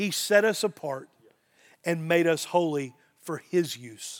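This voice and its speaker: Speaking with a Southern Missouri accent, a man has a fairly high pitch and ordinary pitch variation. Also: very clean recording, silent background. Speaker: pastor. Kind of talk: sermon. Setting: church.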